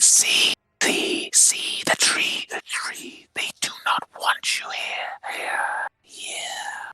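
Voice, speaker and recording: This is a put-on character voice, whispering. It moves at a very slow pace. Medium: actual play. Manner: repetitive, echoing fragments.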